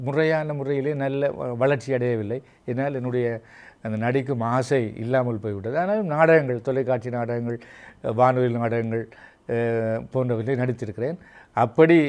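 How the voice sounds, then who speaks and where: This man has a normal speaking voice pitched at a medium level, and its pitch variation is ordinary. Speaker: veteran radio broadcaster and writer. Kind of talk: interview.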